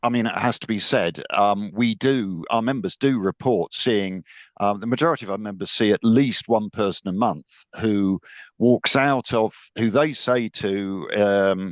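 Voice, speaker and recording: Fairly slow and fairly low in pitch, a man talks in a plain, everyday voice with ordinary pitch variation and a dry, close sound with no echo. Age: 60s. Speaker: chief executive of a professional association. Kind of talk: radio interview.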